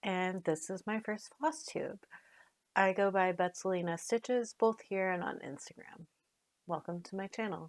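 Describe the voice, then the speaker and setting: At a medium pitch, a woman with an American accent talks at a moderate pace with ordinary pitch variation. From US Pacific Northwest, outside Portland, Oregon. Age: 40s. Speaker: cross stitch vlogger. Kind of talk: casual hobby vlog. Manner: hesitant, many fillers.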